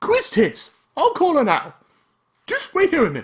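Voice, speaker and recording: At a moderate pace, a man uses a put-on character voice pitched extremely high. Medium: game stream. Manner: brisk, bossy.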